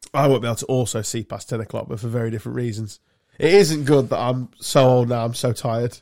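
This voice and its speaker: With an English accent, a man talks at a very fast pace in a medium pitch with ordinary pitch variation, captured in a very clean recording with a silent background. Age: 50s. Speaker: podcast host. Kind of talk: casual chat.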